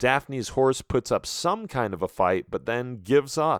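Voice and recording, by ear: The pitch shifts in an ordinary way. It is reading aloud in a natural voice.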